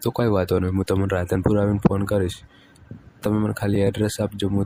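A man speaks at a fairly low pitch, his intonation monotone and flat and his loudness very even. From north Gujarat, Banaskantha. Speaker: caller. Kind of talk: flirtatious phone chat.

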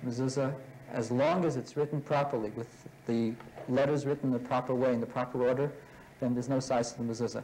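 Over light background noise, the speech runs at a very fast pace in a monotone, flat intonation. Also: man. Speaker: religious studies teacher. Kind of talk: classroom lecture. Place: classroom. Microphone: old recording.

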